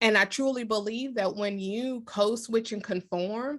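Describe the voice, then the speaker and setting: A woman with an American accent uses an unremarkable speaking voice, fairly high in pitch with ordinary pitch variation, at a moderate pace. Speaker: leadership coach and author. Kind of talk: interview.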